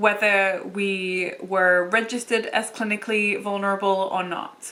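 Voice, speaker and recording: Speaking in a British accent, a woman holds a medium pitch with monotone, flat intonation. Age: 20s. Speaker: beauty YouTuber living with lupus. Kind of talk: casual talk to camera.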